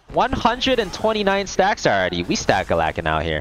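A man takes a fairly slow pace with noticeable noise behind his voice. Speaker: esports shoutcaster. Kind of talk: esports shoutcasting.

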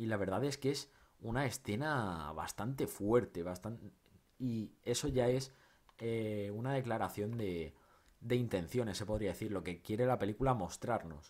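A man's medium-pitched, animated voice at a fairly slow pace, with ordinary pitch variation and a quiet background. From Spain. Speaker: film YouTuber. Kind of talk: film review monologue. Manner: halting, many repetitions and fillers; casual, animated. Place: home room.

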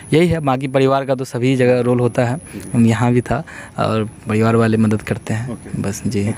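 A man talks at a moderate pace in an ordinary speaking voice, with medium pitch and fairly even intonation. The sound is dry with no echo, over light background noise. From Bihar, India. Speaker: civil services topper; interview guest. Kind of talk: interview. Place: open country.

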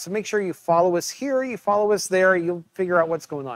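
Recorded dry with no echo, a man speaks at a high pitch with ordinary pitch variation. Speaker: museum curator. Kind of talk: interview. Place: office. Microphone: webcam.

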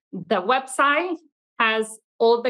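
A woman's very slow speech in a Venezuelan accent, bright and sharp in tone, with ordinary pitch variation. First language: Italian. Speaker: childcare business owner; podcast guest. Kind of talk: casual interview. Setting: video call. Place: classroom. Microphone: video call.

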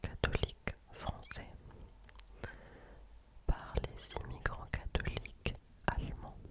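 A woman whispers very slowly, with long, frequent pauses. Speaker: ASMR creator. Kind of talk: ASMR whispered quiz. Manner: whispered. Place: home room. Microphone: studio mic.

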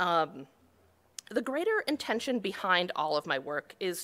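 A woman talks at a moderate pace with a Western New York accent. Her bright, sharp tone rises and falls in very wide pitch swings. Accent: Western New York (Inland North) American. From Buffalo, New York. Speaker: cartographer; conference presenter. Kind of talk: conference talk. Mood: light, humorous. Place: hall.

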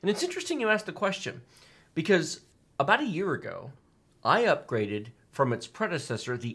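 The tone here is bright and sharp. It comes from a man. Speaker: tech channel host. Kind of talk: podcast commentary. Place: studio.

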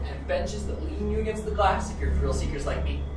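A woman talks very fast. Music plays in the background, and room echo is audible. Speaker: elevator operator guide. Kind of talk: tour guide commentary. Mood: friendly, upbeat.

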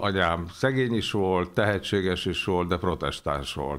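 A man speaks in a very deep, low voice with ordinary pitch variation. The recording is very clean, the background silent. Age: 70s. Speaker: economist, former official. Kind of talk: interview. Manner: hesitant, many filler sounds.

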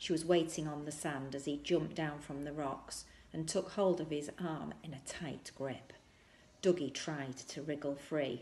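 A woman speaks at a fairly slow pace in a low, slightly mellow voice with fairly even intonation, and audible room echo surrounds her.

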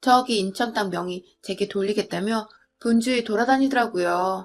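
A woman with a normal speaking voice talks at a moderate pace, her pitch fairly high with ordinary variation, on a very clean recording with a silent background. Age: 30s. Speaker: storyteller. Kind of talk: scripted narration.

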